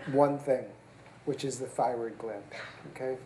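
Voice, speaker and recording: A soft-spoken man talks at medium pitch and a fairly slow pace, with fairly even intonation. Audible room echo surrounds his voice. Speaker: surgeon, division chief. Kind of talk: lecture. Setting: seminar room with live audience.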